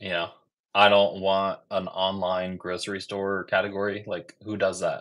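A man speaks at a moderate pace in a fairly low, monotone, flat voice against a quiet background. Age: 30s. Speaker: YouTube credit card creator. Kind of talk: casual interview. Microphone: video call.

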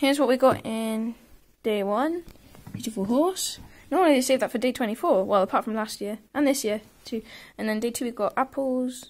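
A woman's high-pitched voice at a moderate pace, with ordinary pitch variation. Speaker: toy unboxing vlogger. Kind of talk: casual vlog chat. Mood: cheerful, mildly excited. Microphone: phone near.

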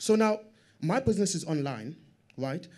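A man with a high pitch and a dark, mellow tone talks at a moderate pace. The background is quiet. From South Africa, Strand township; South Africa. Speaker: audience member, small business owner; audience member. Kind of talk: audience question. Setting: stage with audience. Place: meeting room.

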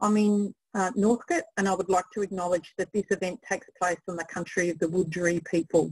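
A somewhat breathy woman at medium pitch, with fairly even intonation, a fairly quick pace and hardly any pauses, over a quiet background. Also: dry sound with no echo. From Australia. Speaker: project manager and webinar host. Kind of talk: webinar presentation. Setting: video call webinar. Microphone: video call.

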